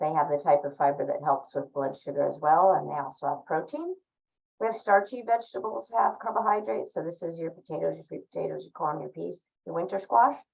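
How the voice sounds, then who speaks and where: Over music in the background, a woman talks at a very fast pace with big swings in loudness. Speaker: dietitian. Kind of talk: lecture.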